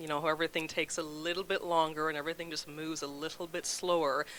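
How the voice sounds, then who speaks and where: In a Jamaican accent, a woman speaks very fast with a bright, sharp tone, a very deep, low pitch and monotone, flat intonation. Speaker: food bank representative. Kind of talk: casual interview. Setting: live talk show.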